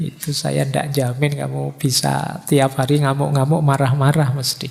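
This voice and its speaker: Soft-spoken and at a moderate pace, a man with a fairly high pitch talks in monotone, flat intonation amid noticeable background noise. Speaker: philosophy lecturer. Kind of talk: lecture. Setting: hall with live audience, PA system.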